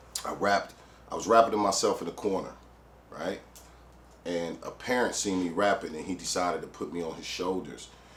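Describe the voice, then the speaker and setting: A man with an American accent, fairly low in pitch, with fairly even intonation, big swings in loudness and long, frequent pauses, plus audible room echo. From Detroit east side, US. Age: 40s. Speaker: rapper. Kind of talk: interview storytelling. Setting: studio. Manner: casual, frequent fillers.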